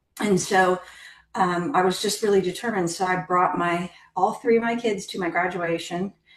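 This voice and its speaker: At a moderate pace, a woman talks in a plain, everyday voice with medium pitch. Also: fairly even intonation. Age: 50s. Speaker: scientist. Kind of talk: interview. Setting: podcast.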